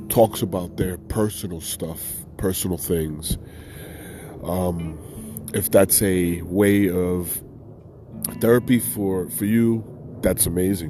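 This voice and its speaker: A man speaks at a very slow pace with a very deep, low pitch and fairly even intonation. Long, frequent pauses break up his speech, and there is noticeable background noise. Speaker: podcast host, veteran. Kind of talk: casual solo podcast talk. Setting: outdoors. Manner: halting, many fillers.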